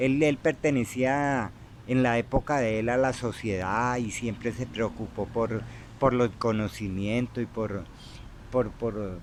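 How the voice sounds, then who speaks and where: Delivery is very slow, with fairly even intonation throughout. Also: man, medium pitch for a man. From Colombia, Tolima (Armero). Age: 60s. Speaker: interviewee telling his life story. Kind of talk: life-story interview. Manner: halting, many repetitions and fillers.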